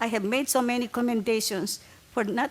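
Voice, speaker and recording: A woman speaks at a moderate pace in an American accent. Noticeable background noise runs underneath. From abroad, not US (came to the States after college). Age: 70s. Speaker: public commenter at transit board meeting. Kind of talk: public comment testimony. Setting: public meeting at table microphone.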